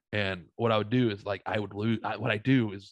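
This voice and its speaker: With an American accent, a man with an unremarkable speaking voice talks at a fairly quick pace and medium pitch, with ordinary pitch variation, in a dry, close sound with no echo. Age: 30s. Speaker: podcast host. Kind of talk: casual chat.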